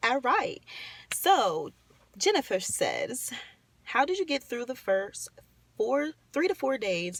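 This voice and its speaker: The speech moves at a very slow pace with long, frequent pauses and very wide pitch swings. Noticeable background noise sits underneath. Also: woman. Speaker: vlogger answering viewer questions. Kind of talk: casual Q&A vlog. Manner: halting, many fillers.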